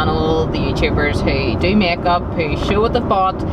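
Loud background noise runs through a dry sound that has no echo. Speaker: vlogger on honeymoon. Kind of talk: casual vlog chat. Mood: excited, chatty. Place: car.

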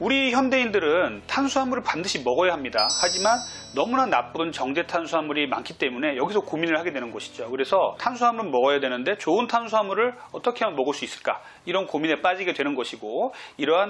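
Faint music plays behind a man whose high-pitched voice races at a very fast pace. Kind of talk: health explainer to camera. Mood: earnest, explanatory. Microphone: lapel.

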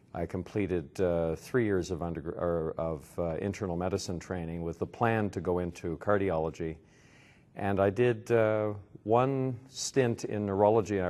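A man speaks at a fairly slow pace with a very deep, low pitch. His tone is dark and mellow, with ordinary pitch variation. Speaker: interviewee. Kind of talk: interview answer. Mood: relaxed, reflective, occasionally amused. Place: hall.

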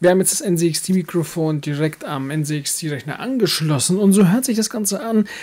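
A man's high-pitched, slightly mellow voice at a fairly slow pace

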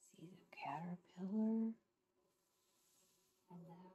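A woman speaks in a gentle, warm tone. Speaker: grandmother reading picture books. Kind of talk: children's picture book read-aloud. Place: home room. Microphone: phone near.

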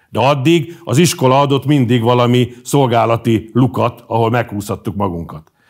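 The voice moves at a moderate pace with hardly any pauses, ordinary pitch variation and very even loudness. The background is quiet. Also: man, medium pitch for a man. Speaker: pro-government media editor; interview guest. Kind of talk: interview. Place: studio.

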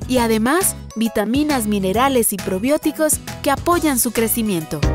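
Over music in the background, a woman with a high pitch and lively intonation speaks at a moderate pace. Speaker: voice actor. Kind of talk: TV commercial read.

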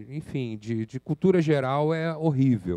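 Against a quiet background, a man speaks very slowly in a dark, mellow tone with ordinary pitch variation. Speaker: community workshop organizer; presenter. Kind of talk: presentation. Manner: restless. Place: hall.

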